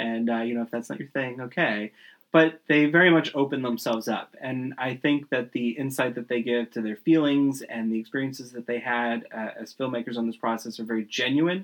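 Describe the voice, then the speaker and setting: A man with an American accent and a plain, everyday voice speaks at a fairly quick pace and medium pitch, with fairly even intonation and hardly any pauses. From Panama City, Florida. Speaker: podcast host. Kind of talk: casual interview.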